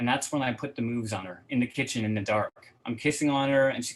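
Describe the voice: Ordinary pitch variation in a plain read-aloud passage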